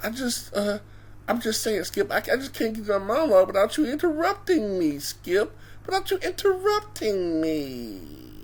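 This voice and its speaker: Clear background noise sits behind a put-on character voice at a moderate pace. The tone is timid and whiny. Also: female-sounding voice. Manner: timid, whiny.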